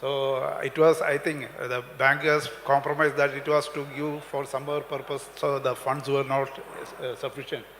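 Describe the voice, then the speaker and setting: A man speaks at a fairly high pitch. There is noticeable background noise. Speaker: retired bank officer. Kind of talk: public meeting speech. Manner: halting.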